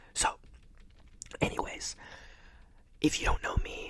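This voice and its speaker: A man whispers with an American accent. Noticeable background noise runs behind him. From Ohio, USA. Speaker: ASMR creator. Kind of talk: casual talk to camera.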